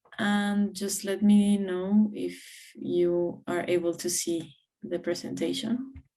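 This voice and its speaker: A woman's dark, mellow voice at a medium pitch, fairly even in intonation, at a very slow pace, with audible room echo. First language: Spanish. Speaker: community network regional coordinator. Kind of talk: conference presentation. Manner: hesitant, many fillers.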